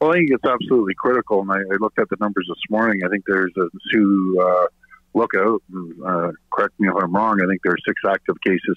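A man talks in a plain, everyday voice at a fairly low pitch with fairly even intonation. The sound is dry with no echo, and the background is quiet. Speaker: politician as phone guest. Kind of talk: interview answer. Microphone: phone line.

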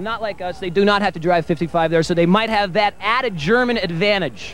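At a fairly quick pace, a man speaks in a high pitch with ordinary pitch variation, the sound dry with no echo and light background noise behind him. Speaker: guest. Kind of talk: joking interview answer. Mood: playful mock-expert joking. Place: street. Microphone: handheld.

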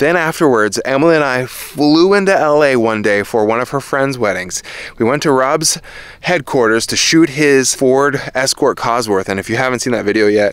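A man talks at a moderate pace with ordinary pitch variation. The sound is dry with no echo and the background is quiet. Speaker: car vlogger. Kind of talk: casual vlog chat. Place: open country. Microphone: phone near.

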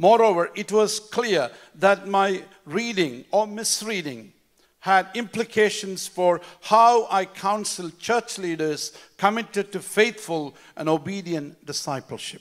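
Against a quiet background, a man with a high pitch speaks at a fairly slow pace, with ordinary pitch variation. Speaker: pastor. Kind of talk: sermon. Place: church. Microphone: handheld.

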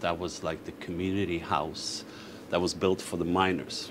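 A man with a very deep, low pitch, a moderate pace and noticeable background noise. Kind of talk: interview answer. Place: bar. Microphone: camera far.

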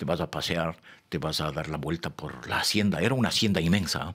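A man with vocal fry talks at a moderate pace. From Ecuador, Quito; Ecuador. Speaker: poet. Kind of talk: interview. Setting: studio. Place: studio. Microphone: studio mic.

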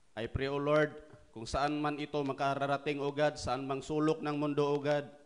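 A man with a Filipino accent speaks in a fairly high pitch with monotone, flat intonation. The background is quiet. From Philippines. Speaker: preacher. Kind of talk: fervent prayer, pleading and rhythmic, closing each phrase with "O God". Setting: online church service via livestream, from Japan. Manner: earnest, heartfelt, with repeated invocations and slow, solemn cadence. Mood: fervent prayer. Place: hall. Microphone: handheld.

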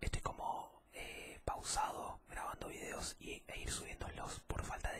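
A soft-spoken man against loud background noise. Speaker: ASMR creator. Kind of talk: casual ASMR talk to viewers. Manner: soft-spoken, hushed ASMR voice close to mic.

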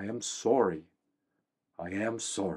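A man mumbles in a put-on character voice at a fairly slow pace. His pitch sits fairly low. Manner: mumbled into his wrist, muffled; regretful, ashamed.

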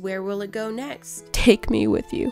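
Music plays in the background as a woman speaks at a fairly slow pace. Her pitch is medium, with ordinary pitch variation. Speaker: art and craft YouTuber. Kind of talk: casual craft video voice-over. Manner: soft-spoken.

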